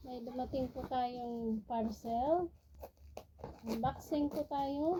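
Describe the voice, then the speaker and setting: Very slow pace with ordinary pitch variation. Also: woman, high pitch for a woman. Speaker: vlogger. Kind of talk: casual unboxing vlog. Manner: animated.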